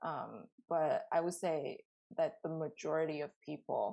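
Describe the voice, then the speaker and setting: A woman with a Chinese accent. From China. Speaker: artist. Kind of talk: interview. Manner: hesitant, many fillers.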